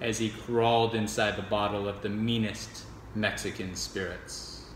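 A man with fairly low pitch speaks fairly slowly in a flat monotone, with audible room echo and light background noise. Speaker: poetry reader. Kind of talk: dramatic poetry reading. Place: home room. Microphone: phone near.

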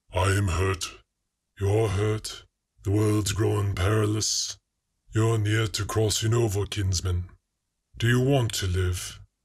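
A man uses a put-on character voice, calm in tone and fairly low in pitch. He goes at a fairly slow pace with long, frequent pauses. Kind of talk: solemn incantation. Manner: calm, grave, unhurried.

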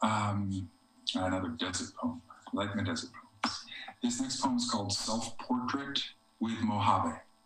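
Fairly slow speech with an American accent and ordinary pitch variation, audible room echo, and faint music in the background. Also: man, medium pitch for a man. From US East Coast. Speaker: poet. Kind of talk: poetry reading, read aloud to a virtual audience. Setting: video call from home. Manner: measured, reflective, slow, lyrical poetry delivery; slightly hesitant and conversational between poems. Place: home room. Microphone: video call.

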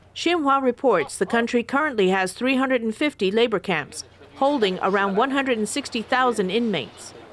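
A woman talks in a plain, everyday voice. Her pitch is fairly high and her intonation lively. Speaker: news reporter. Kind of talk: scripted news report voiceover.

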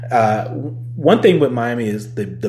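The speaker is a man with an American accent. The room echoes audibly, and background noise is noticeable. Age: 30s. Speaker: podcast host. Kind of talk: casual solo podcast monologue, also streamed live. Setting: working from home, streamed on Facebook Live.

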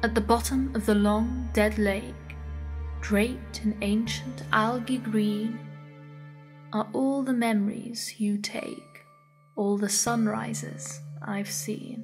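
Music plays in the background as a woman talks at a very slow pace, leaving long, frequent pauses. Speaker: narrator. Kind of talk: creepypasta poem narration.

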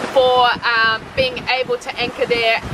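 A woman is heard over loud background noise. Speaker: sailing travel vlogger. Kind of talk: casual vlog chat. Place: boat. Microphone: phone near.

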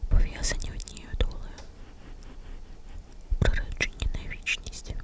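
A very slow whisper comes through with noticeable background noise behind it. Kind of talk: ASMR bedtime story. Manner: whispered.

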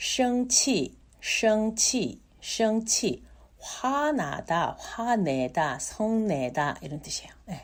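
Very slowly, a woman speaks at a fairly high pitch, with very wide pitch swings and big swings in loudness. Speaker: Chinese language teacher. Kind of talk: tutorial. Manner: repeats words slowly for learners.

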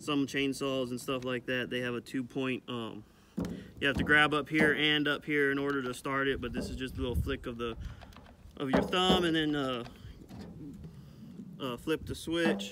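A man speaking with long, frequent pauses, a dry sound with no echo, and loud background noise. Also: ordinary pitch variation, moderate pace. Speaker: rancher reviewing a tool. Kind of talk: casual product review. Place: farm machine.

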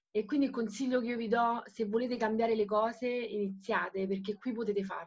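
With fairly even intonation, the woman speaks in a fairly high voice. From Italy. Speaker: network marketing seller. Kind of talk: testimony. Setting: video call. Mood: emotional, earnest. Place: home room. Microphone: video call.

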